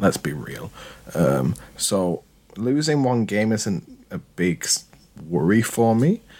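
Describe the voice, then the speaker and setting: A man speaks at a very slow pace with fairly low pitch and very wide swings in it. Long pauses come often, over noticeable background noise. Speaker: podcast host. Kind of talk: casual interview. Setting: remote call.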